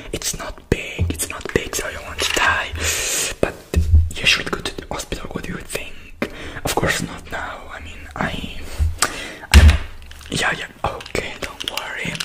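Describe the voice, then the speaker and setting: With music in the background, a man talks at a fairly slow pace, leaving long, frequent pauses. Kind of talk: role-play talk to camera. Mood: caring, soothing. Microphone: earbuds.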